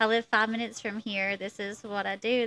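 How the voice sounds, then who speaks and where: A woman with a strong Eastern Kentucky accent talks at a moderate pace in a bright, sharp tone. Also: dry, close sound with no echo, very clean recording, silent background. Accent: strong Southern Eastern Kentucky twang. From Eastern Kentucky (Harlan County). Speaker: actress and photographer. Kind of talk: casual interview chat.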